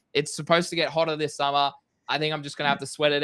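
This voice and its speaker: A man's fairly high-pitched voice, bright and sharp in tone, with an animated delivery. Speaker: crypto stream co-host. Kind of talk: casual livestream chat. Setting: home livestream, hot room.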